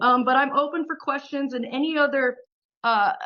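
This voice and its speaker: A woman speaks with ordinary pitch variation. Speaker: city council candidate. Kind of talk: campaign speech at community meeting. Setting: community meeting.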